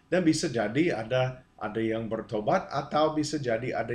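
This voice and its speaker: The pace here is moderate. The man's voice has a somewhat breathy quality. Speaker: preacher. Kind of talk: sermon-style teaching. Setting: video to camera. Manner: halting.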